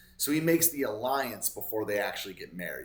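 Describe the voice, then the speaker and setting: Very wide pitch swings mark this man's somewhat breathy delivery. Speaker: Bible study vlogger. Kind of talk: Bible reading with commentary. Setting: hotel room. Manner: casual, halting with self-corrections; slurring words.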